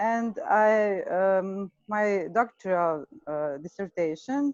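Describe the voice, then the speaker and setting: With a Serbian accent, a woman of medium pitch talks at a very slow pace with ordinary pitch variation, the sound dry and close with no echo. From Serbia, Vojvodina. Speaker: agricultural economist. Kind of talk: self-introduction in meeting. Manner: halting.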